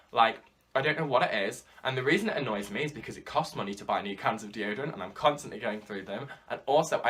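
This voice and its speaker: A man's very fast speech in a British accent, with ordinary pitch variation and noticeable background noise. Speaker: YouTuber. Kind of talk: casual vlog monologue. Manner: loud.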